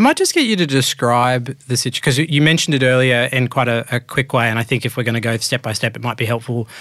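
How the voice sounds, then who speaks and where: A man of medium pitch with an Australian accent talks at a very fast pace with fairly even intonation. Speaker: podcast host. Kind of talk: interview, casual chat.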